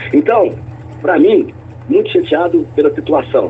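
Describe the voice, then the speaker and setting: A man speaks moderately paced, with noticeable background noise behind his words. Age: 60s. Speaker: politician. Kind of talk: radio interview.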